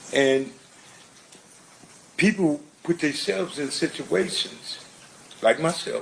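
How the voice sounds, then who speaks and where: The speaker has an American accent and lively intonation, talking at a fairly slow pace. Noticeable background noise can be heard. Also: man. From Compton, California. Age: 60s. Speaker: court witness. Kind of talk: courtroom testimony. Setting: courtroom.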